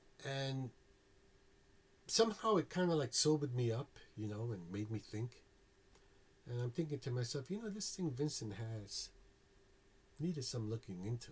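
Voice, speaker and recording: A man with a New York accent speaks at a moderate pace and medium pitch, with lively intonation. His voice is somewhat breathy, with long, frequent pauses. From New York City (South Bronx). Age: 60s. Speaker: former Jehovah's Witness telling his story. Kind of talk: personal testimony. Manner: casual, many fillers and repeats.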